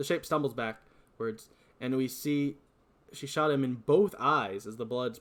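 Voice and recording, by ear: Reading aloud in a natural voice, with ordinary variation in pitch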